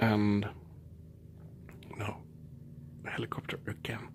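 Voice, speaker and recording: Somewhat breathy and fairly low-pitched, a man speaks fairly slowly with a Swedish accent. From Sweden. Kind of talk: ASMR storytelling. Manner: soft-spoken.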